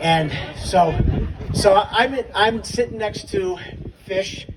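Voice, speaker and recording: Here a man speaks with an American accent. Noticeable background noise runs under the recording. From upstate New York. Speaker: memorial speaker, adaptive sports volunteer. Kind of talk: memorial tribute speech.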